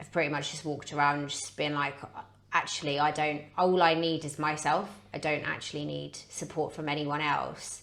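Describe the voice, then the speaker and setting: A woman with a British accent speaks at a moderate pace in a very deep, low voice with flat, monotone intonation and big swings in loudness. Noticeable background noise and audible room echo fill the recording. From Britain. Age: 30s. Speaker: podcast guest, personal training client. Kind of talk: casual chat. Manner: halting.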